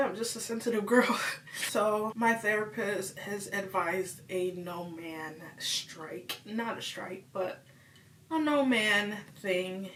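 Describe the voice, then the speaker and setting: A woman talks very slowly at medium pitch. Noticeable background noise and audible room echo surround her. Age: 20s. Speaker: vlogger. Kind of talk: personal vlog confession. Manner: casual, rambling speech.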